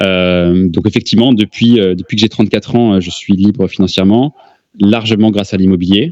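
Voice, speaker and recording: Dry and close with no echo, a man's fairly low-pitched voice moves at a fairly quick pace with fairly even intonation. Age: 30s. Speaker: real estate investor. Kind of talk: interview. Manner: hesitant, many fillers.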